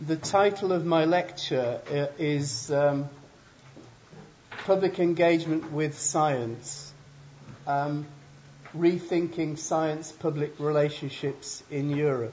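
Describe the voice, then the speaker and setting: A man with an English accent at a fairly high pitch and fairly even intonation, speaking at a very slow pace with long, frequent pauses, amid audible room echo and noticeable background noise. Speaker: professor. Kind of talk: lecture. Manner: slow and clear.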